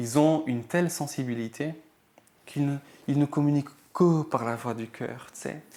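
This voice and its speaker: With a non-native accent, a man talks at a moderate pace in a fairly high, dark, mellow voice, his intonation fairly even, his loudness swinging widely, and his pauses long and frequent. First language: not French (speaking French). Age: 20s. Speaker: health practitioner. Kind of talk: interview. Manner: halting, many fillers.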